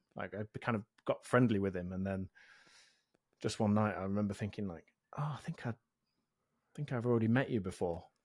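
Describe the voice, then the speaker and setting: With an English accent, a man of fairly low pitch talks at a fairly quick pace broken by long, frequent pauses, showing ordinary pitch variation in a dry, close sound with no echo. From England, East Midlands (Mansfield near Nottingham). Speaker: software developer and podcast host. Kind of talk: casual interview chat.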